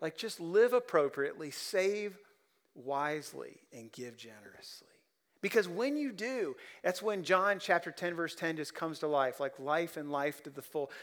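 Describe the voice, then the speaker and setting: Over a silent background in a very clean recording, a man with a Midwestern American accent speaks at a high pitch and a moderate pace. His intonation is lively and his loudness swings widely. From Ohio (Columbus, rural). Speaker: pastor. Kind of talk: sermon. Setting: church.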